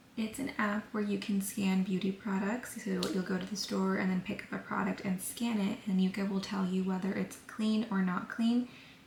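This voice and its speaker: A soft-spoken woman at a moderate pace, monotone and flat in intonation with hardly any pauses, over noticeable background noise. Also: medium pitch for a woman. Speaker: lifestyle vlogger. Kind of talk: casual vlog talk to camera. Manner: soft-spoken, talking quietly.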